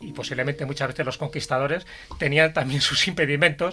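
Bright and sharp in tone, a man talks at a fairly high pitch with ordinary pitch variation. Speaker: podcast co-host. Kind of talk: casual chat.

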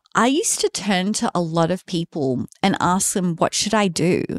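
In a dry, close sound with no echo, a woman uses an ordinary speaking voice with ordinary pitch variation. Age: 30s. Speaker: podcast co-host, confidence coach. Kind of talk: casual chat. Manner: unhurried, not a quick cadence.

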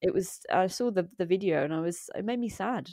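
A woman with an English accent talks very fast at a medium pitch, with a dark, mellow tone and ordinary pitch variation. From England. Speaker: environmental activist. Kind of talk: interview conversation.

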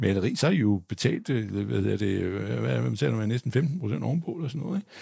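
Talking at a very fast pace, a man uses very wide pitch swings and vocal fry. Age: 60s. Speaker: stock analyst. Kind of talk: live panel debate. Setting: stage with audience. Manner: halting.

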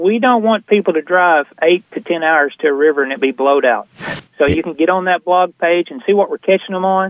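A man with an Arkansas accent, high pitch, ordinary pitch variation and a fairly quick pace. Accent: Southern US (Arkansas). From northern Arkansas. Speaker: fishing guide and fly shop owner. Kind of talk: casual chat.

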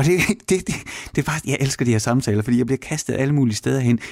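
The man's voice is somewhat breathy. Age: 40s. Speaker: radio host. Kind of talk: casual chat.

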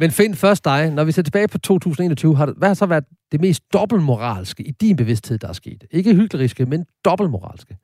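At a moderate pace, a man with a fairly high pitch makes very wide pitch swings in a dry, close sound with no echo. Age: 50s. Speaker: radio host. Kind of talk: casual chat; scripted narration. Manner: halting.

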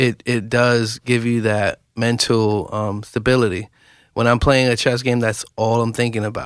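Fairly slow speech from a man with a New York accent, medium pitch and monotone, flat intonation, in a very clean recording with a silent background. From New York, West Bronx. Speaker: chess nonprofit co-founder. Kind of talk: radio interview.

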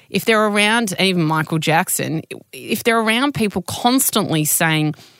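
Her intonation lively, a woman speaks at a fairly slow pace in an unremarkable speaking voice. The recording is very clean, with a silent background. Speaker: podcast host. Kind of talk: interview conversation.

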